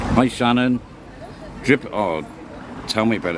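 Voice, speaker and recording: Over crowd noise in the background, a man with an English accent talks at a medium pitch. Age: 60s. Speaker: livestream host. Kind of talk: casual chat.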